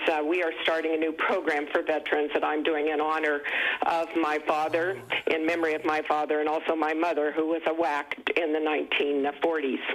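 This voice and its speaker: Very even loudness and a monotone, flat intonation, over noticeable background noise. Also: woman. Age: 70s. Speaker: caller, nonprofit director. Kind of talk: call-in comment on TV talk show.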